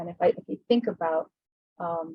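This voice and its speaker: Soft-spoken and somewhat breathy, a woman with an American accent speaks at a fairly quick pace and a fairly low pitch. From US West Coast (Los Angeles, between Compton and Watts). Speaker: insurance catastrophe modeling leader. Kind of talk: fireside chat.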